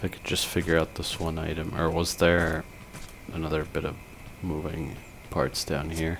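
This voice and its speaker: Very deep, low male voice, flat and monotone, at a moderate pace with long, frequent pauses and noticeable background noise. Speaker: gaming commentator. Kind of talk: gameplay commentary. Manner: slurs words at times.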